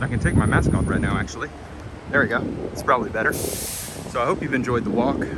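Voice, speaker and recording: Speech comes at a fairly quick pace, with audible room echo and noticeable background noise. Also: man. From Kentucky. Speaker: travel vlogger. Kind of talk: narrated walking tour. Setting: outdoors. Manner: casual.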